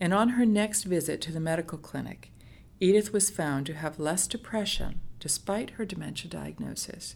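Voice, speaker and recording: A woman's medium-pitched voice with vocal fry and an American accent, ordinary pitch variation, at a moderate pace. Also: very clean recording, silent background. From United States. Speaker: social worker. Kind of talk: storytelling, reading a case study. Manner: halting.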